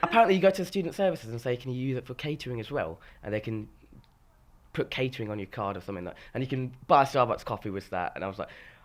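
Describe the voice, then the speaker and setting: A man with an animated tone races along at a very fast pace, his medium pitch swinging very widely. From Scotland, Aberdeen. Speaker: student singer-songwriter. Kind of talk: casual chat. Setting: informal interview with a cup of tea.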